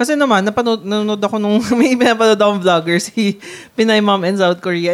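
This woman has a plain, everyday voice at a medium pitch. Her pitch varies in an ordinary way. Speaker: podcast co-host. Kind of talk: casual chat.

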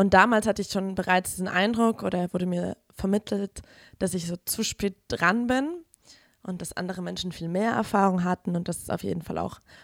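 A woman's ordinary speaking voice at medium pitch, fairly even intonation and moderate pace, very clean recording with a silent background and a dry, close sound with no echo. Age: 20s. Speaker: feminist activist sharing experience. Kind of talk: testimony. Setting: studio.

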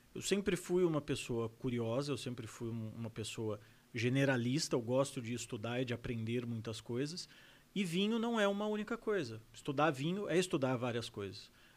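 Very wide pitch swings mark a man's medium-pitched voice. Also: moderate pace, very clean recording, silent background. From Brazil, São José dos Campos (São Paulo state). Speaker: sommelier and wine educator. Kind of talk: casual interview chat.

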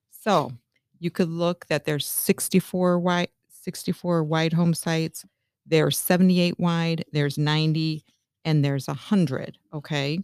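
A woman with an American accent speaks at a fairly slow pace with a fairly low pitch and fairly even intonation, in a dry, close sound with no echo on a very clean recording with a silent background. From US Midwest, Northwest Indiana near Chicago. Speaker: home builder sales manager. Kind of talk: podcast interview. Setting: studio.

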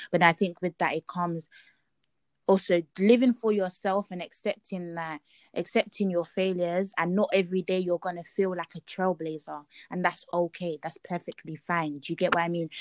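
A woman speaks at a moderate pace with a fairly low pitch and fairly even intonation, the sound dry and close with no echo. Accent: London. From East London, Nigerian heritage. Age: young. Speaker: podcast host, law student. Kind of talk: casual chat.

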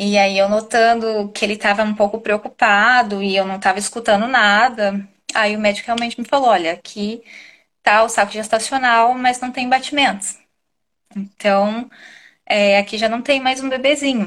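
A woman speaks in a normal speaking voice at a moderate pace, her fairly high pitch held in a fairly even intonation. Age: 30s. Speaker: mother and restaurant owner. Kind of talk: testimony. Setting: live stream video call.

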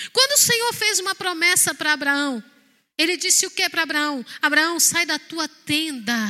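In a very clean recording with a silent background, a woman uses a raised, projected voice with an extremely high pitch, a bright, sharp tone, an animated manner and lively intonation at a moderate pace. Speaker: pastor. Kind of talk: sermon.

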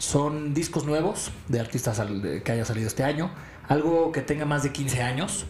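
A man with a Mexican accent speaks at a moderate pace with ordinary pitch variation. Audible room echo and music in the background accompany him. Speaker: podcast co-host. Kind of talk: casual chat.

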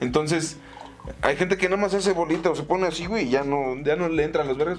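A man speaks at a fairly quick pace in a high voice. Noticeable background noise is audible. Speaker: comedy podcast co-host. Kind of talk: casual chat. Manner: animated.

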